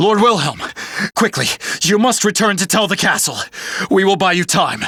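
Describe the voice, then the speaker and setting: A man's put-on character voice, high in pitch, at a moderate pace and very even loudness, over light background noise. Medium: video game. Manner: panicked.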